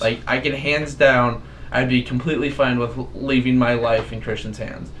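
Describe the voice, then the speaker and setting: A man speaks in a monotone with flat intonation. Audible room echo and noticeable background noise surround him. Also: medium pitch for a man, moderate pace. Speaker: podcast host. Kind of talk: casual chat. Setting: shared mic in one room.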